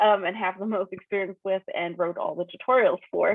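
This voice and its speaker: In a German accent, a woman talks at a very fast pace with a medium pitch. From Germany. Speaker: data quality consultant and conference speaker. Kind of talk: technical talk. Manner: casual, many filler words.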